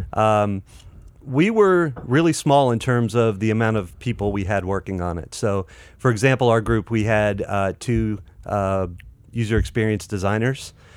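A man with an American accent speaks at a moderate pace in a plain, everyday voice, his fairly low pitch moving with ordinary variation on a very clean recording over a silent background. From North Carolina. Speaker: fintech marketing professional. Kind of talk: casual interview.

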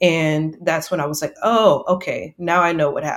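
In a Texan accent, a woman talks. Her voice sits fairly low. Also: very clean recording, silent background. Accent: Texan American. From Texas, near San Antonio. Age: 30s. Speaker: journalist and mental health advocate. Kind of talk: interview, personal testimony.

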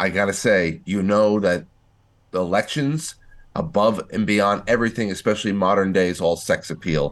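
An unremarkable speaking voice from a man, fairly low in pitch with ordinary pitch variation, at a moderate pace against a quiet background. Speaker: podcast co-host. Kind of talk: political commentary chat.

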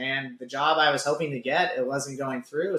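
A man talks at a fairly quick pace with an American accent. He has an unremarkable speaking voice with ordinary pitch variation. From California. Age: 20s. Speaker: gym owner and fitness coach. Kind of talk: casual chat.

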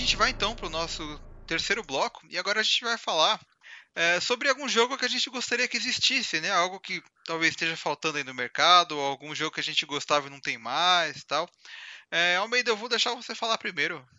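A man with a high pitch talks at a fairly quick pace, his pitch swinging very widely. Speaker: gaming podcast host. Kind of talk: casual chat.

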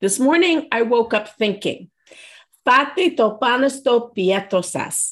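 Upbeat and lively in intonation, a woman with a high voice speaks at a very slow pace. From Greek heritage. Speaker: podcast co-host. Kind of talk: casual chat.

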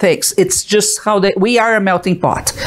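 A moderate pace with a Portuguese accent. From Brazil. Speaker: art business owner and webcast host. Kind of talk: live-streamed talk to viewers. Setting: live stream from home.

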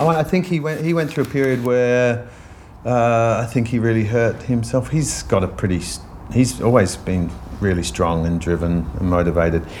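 Amid audible room echo, a man talks at a moderate pace with very wide pitch swings. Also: medium pitch for a man. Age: 50s. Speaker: dancer and physical theatre maker. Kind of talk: casual interview. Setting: office after rehearsals.

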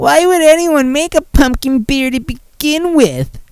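This put-on character voice is high-pitched and whiny. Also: moderate pace. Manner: complaining, put-on.

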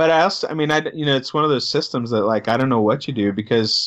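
A man speaks at a fairly quick pace in an American accent, with ordinary pitch variation. It is an ordinary speaking voice. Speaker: podcast co-host. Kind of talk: casual chat.

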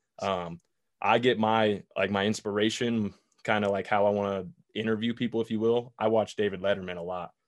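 An American accent marks this man's fairly low voice, an ordinary speaking voice. He moves at a fairly quick pace with fairly even intonation. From Boulder, Colorado, US. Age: young. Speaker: former football player and TV analyst. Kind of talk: casual chat. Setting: video call.

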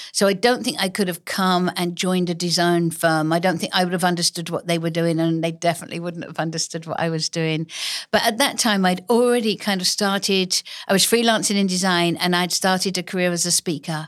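A woman with an English accent at a fairly quick pace. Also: fairly low pitch for a woman. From Essex, England. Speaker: author and illustrator. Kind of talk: casual interview chat. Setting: studio.

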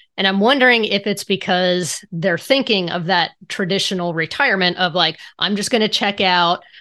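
Against a quiet background, a woman with a bright, sharp tone and medium pitch talks at a moderate pace, her pitch varying in an ordinary way. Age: 40s. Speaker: podcast host and financial coach. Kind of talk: casual interview.

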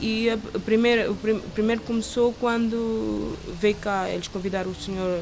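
Audible room echo plus noticeable background noise. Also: woman. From Cape Verde, Santo Antão island. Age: 30s. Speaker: chef. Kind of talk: interview. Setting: outdoor terrace by the sea.

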